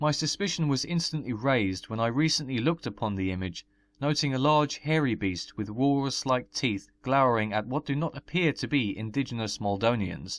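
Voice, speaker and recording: Using an ordinary speaking voice, a man talks at a fairly quick pace with hardly any pauses, a medium pitch and lively intonation, on a very clean recording with a silent background. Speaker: folklore narrator. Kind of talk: documentary narration.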